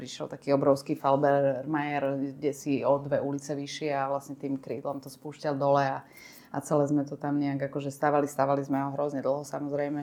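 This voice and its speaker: The voice is dark and mellow in tone, flat and monotone, and moves at a fairly quick pace. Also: woman, very deep, low pitch for a woman, quiet background. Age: 50s. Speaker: arts manager reading a refugee's story. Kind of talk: casual conversation.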